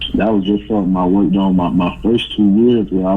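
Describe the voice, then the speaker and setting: With a Southern US accent, a man with a very deep, low pitch speaks at a fairly quick pace with fairly even intonation. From US South, small-town Florida. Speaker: college basketball player. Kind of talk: casual interview.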